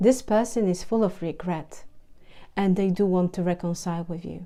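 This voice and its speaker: Speaking at a fairly slow pace with a non-native accent, a woman uses a medium pitch, a dark, mellow tone and monotone, flat intonation. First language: not English. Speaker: tarot reader. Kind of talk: tarot reading monologue. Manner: halting, repeats words.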